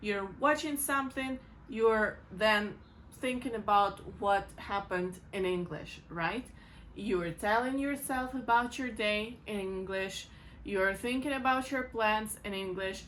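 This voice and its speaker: In a Ukrainian accent, a woman with a fairly high voice speaks at a fairly slow pace. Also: ordinary pitch variation. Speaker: English teacher. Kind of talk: tutorial.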